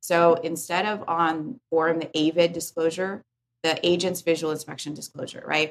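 Speaking at a moderate pace, a woman has a plain, everyday voice. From born in Korea, raised in US. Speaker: real estate tech CEO. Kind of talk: podcast interview.

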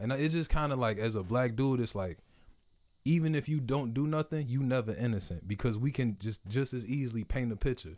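Speaking in an American accent, a man talks at a fairly quick pace and a medium pitch. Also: ordinary pitch variation. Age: 20s. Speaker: podcast host. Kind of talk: casual interview chat. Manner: animated, slangy.

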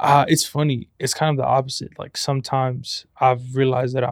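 A man talks at medium pitch and a moderate pace in an ordinary speaking voice. The sound is dry and close, with no echo. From Compton, California. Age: 20s. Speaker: photographer and college student. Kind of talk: casual interview chat.

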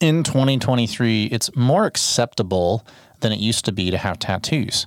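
This man has an ordinary speaking voice at a medium pitch. He keeps a moderate pace with lively intonation. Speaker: photography podcast host. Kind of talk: casual chat. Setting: studio. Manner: casual, frequent filler words.

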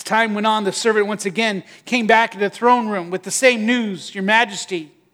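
An unforced reading voice.

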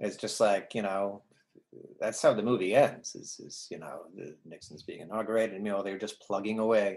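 In a plain, everyday voice, a man talks fairly quickly with fairly low pitch, fairly even intonation and big swings in loudness. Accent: American. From New Jersey, US. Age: 50s. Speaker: actor and writer. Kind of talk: casual chat.

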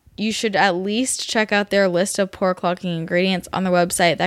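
In a normal speaking voice with an American accent, a woman talks at medium pitch with ordinary pitch variation, recorded dry and close with no echo and very cleanly against a silent background. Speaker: podcast host, nutritional therapist. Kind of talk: casual interview chat.

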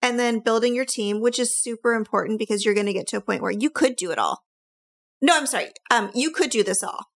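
At a very fast pace, a woman speaks in an excited, animated tone with fairly high pitch and ordinary pitch variation, in a dry, close sound with no echo.

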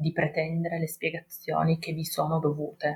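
A woman speaks at a moderate pace in a fairly low, somewhat breathy voice. Her intonation is monotone and flat. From Turin, northern Italy. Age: 30s. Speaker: kindergarten teacher sharing birth story. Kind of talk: personal testimony.

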